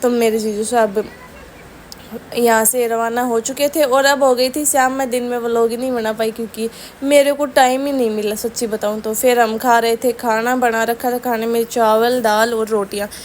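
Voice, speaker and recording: A woman talks in a monotone, flat intonation at a fairly high pitch. Noticeable background noise sits under her voice. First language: Rajasthani (Marwari/Shekhawati) (speaking Hindi). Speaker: family vlogger. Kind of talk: casual vlog narration.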